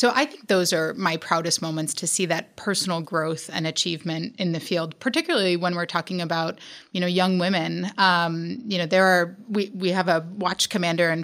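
A woman with an American accent talks fairly quickly with hardly any pauses in a plain, everyday voice, fairly low in pitch with fairly even intonation. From New York. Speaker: emergency management director and academic. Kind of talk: panel interview.

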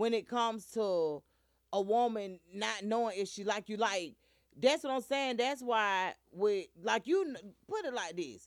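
Animated and with lively intonation, a woman speaks at a fairly slow pace. The recording is very clean, the background silent. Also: fairly high pitch for a woman. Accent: Southern US. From US South. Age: 40s. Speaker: internet radio host. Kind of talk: casual chat. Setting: studio.

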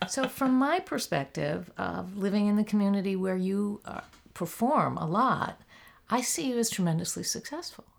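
A woman with an ordinary speaking voice talks at a moderate pace, with medium pitch and lively intonation. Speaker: podcast interviewer. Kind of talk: interview conversation.

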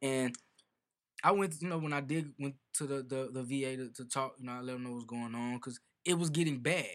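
In a very clean recording with a silent background, a man at medium pitch talks at a fairly quick pace with fairly even intonation. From Chicago. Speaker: Marine veteran and musician. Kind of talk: casual chat.

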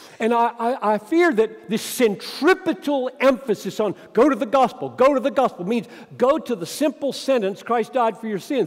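A man talks at a moderate pace with hardly any pauses and an extremely high pitch. His intonation is lively, and there is noticeable background noise. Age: 70s. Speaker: pastor. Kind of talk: conference talk on preaching. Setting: stage with audience.

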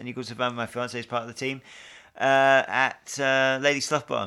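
Very clean recording, silent background. A man with a British accent speaks in a bright, sharp tone. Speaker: podcast host. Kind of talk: casual chat. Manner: joking, banter.

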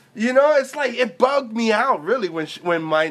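Noticeable background noise sits behind a man with an American accent whose pitch swings very widely. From New York. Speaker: tattoo shop podcast co-host. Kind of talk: casual chat.

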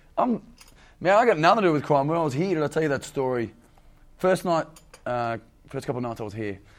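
A man talks at a fairly quick pace with long, frequent pauses. His fairly high pitch makes very wide swings. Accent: Australian. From Australia. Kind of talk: casual podcast chat.

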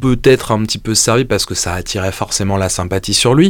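A man talks at a moderate pace in a normal speaking voice, fairly low in pitch with ordinary variation. The recording is very clean, with a silent background. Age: 30s. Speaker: guitar podcast co-host. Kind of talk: casual chat. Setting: studio.

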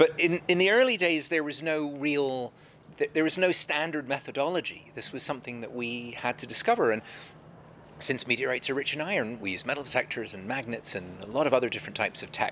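A man with a fairly high voice talks at a very fast pace over noticeable background noise. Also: lively intonation. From London, England. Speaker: meteorite hunter. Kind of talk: interview. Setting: live event venue.

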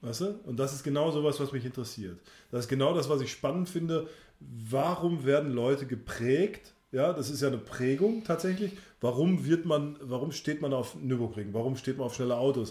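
Somewhat breathy and dark, mellow in tone, the voice moves at a moderate pace with ordinary pitch variation. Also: man, fairly high pitch for a man. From Sauerland, Germany. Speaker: podcast host. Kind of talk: casual chat.

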